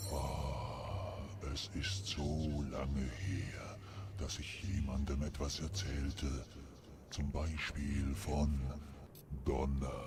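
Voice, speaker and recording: Against loud background noise, a man puts on a character voice and speaks at a very slow pace. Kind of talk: solemn legend narration. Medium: fan dub. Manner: slow, reflective.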